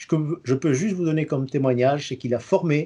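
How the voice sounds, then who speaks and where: A man speaks at a fairly quick pace in a dark, mellow tone. His pitch variation is ordinary. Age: 60s. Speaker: retired engineer and community radio host. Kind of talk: interview answers. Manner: hesitant, frequent 'euh' and repetitions.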